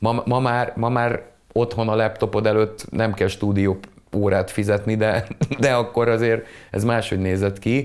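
Delivery is fairly slow. The man keeps a monotone, flat intonation throughout. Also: fairly low pitch for a man, very even loudness. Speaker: musician. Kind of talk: casual chat. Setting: video call.

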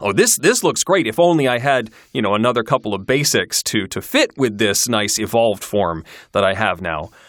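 Over a silent background in a very clean recording, a man with a plain, everyday voice and an American accent speaks at a medium pitch and moderate pace with lively intonation. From Michigan, US Midwest. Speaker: podcaster and audiobook narrator. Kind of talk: casual interview.

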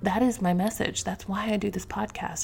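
A woman's somewhat breathy voice with fairly even intonation. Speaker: podcast host. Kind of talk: solo podcast monologue, casual and spiritual. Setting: home, at a microphone. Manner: casual, chatty, warm.

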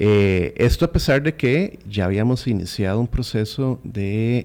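Fairly low pitch and ordinary pitch variation in a man's voice. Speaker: marine park conservation official. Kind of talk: radio interview. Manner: halting.

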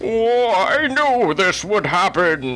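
A man's put-on character voice, high-pitched, with clear background noise.

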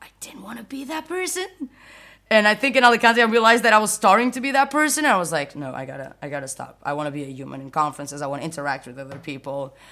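A woman with a Portuguese accent, very fast, bright and sharp in tone, with very wide pitch swings and big swings in loudness. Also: medium pitch for a woman. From Portugal, near Porto. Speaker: software developer advocate. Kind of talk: casual interview. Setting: podcast recording.

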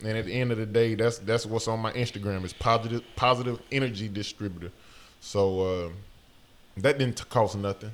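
A man with a Southern US accent talks at a fairly quick pace. His pitch is medium and his intonation fairly even. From Alabama. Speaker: actor. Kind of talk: casual chat.

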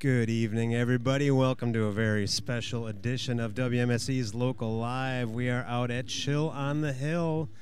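A man with an ordinary speaking voice at a medium pitch, moderate in pace and with hardly any pauses. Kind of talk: live remote radio hosting: venue intros, sponsor read, band interviews. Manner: warm, chatty, upbeat, joking.

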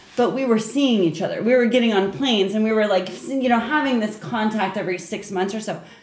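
Over noticeable background noise, a woman with a fairly high pitch talks at a very fast pace with hardly any pauses and ordinary pitch variation. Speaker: tattoo artist. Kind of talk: casual chat.

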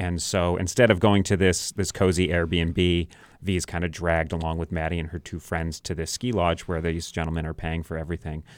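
A man with an American accent speaks in a very deep, low pitch with monotone, flat intonation. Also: fairly quick pace, hardly any pauses, very clean recording, silent background. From New Hampshire, US (Sandown). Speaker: film director. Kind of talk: interview. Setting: radio studio.

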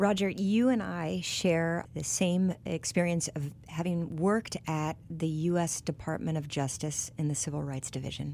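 A woman with a normal speaking voice, fairly low pitch, ordinary pitch variation and a fairly slow pace. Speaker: podcast host. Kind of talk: interview discussion. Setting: studio.

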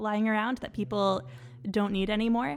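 Here is a woman with a Canadian accent and a normal speaking voice. Her pitch is medium, and its variation is ordinary. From Quebec, Canada. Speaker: doctoral student scholar. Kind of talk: casual chat.

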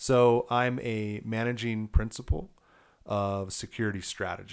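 A normal speaking voice with an American accent and fairly even intonation is captured in a very clean recording with a silent background. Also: man. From Colorado, Elizabeth. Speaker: security consultant. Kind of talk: interview.

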